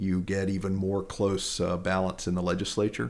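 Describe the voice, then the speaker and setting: A man with an American accent speaks at a moderate pace and a fairly low pitch, in a normal speaking voice. The recording is very clean, with a silent background. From North Carolina, Lexington. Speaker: political candidate. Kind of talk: interview.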